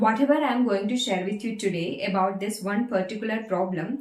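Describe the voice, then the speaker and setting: Over noticeable background noise, a woman talks with a Keralan accent. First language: Malayalam. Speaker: English-speaking coach. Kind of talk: tutorial.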